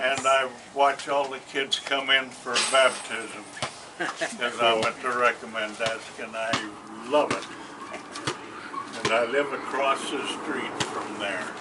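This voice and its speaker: Noticeable background noise sits behind a man speaking at a very slow pace with long, frequent pauses. His pitch is medium, his intonation fairly even. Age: 80s+. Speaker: family reunion attendee. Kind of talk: casual chat.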